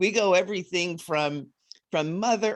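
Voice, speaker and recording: A plain, everyday voice with ordinary pitch variation moves at a fairly slow pace over a quiet background. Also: woman. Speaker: podcast host. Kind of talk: podcast introduction.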